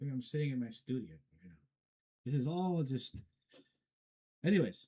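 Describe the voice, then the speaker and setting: A man with medium pitch and a dark, mellow tone speaks at a moderate pace, somewhat breathy. His pitch swings very widely, and he takes long, frequent pauses. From Afghanistan, Herat. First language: not English. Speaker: commentator. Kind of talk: solo commentary. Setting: studio. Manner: halting, stumbling.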